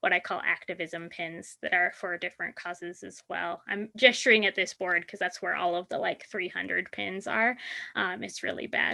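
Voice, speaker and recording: Vocal fry runs through a woman's bright, sharp tone. She speaks at medium pitch and a moderate pace. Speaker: university teacher and diversity trainer. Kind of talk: conference presentation.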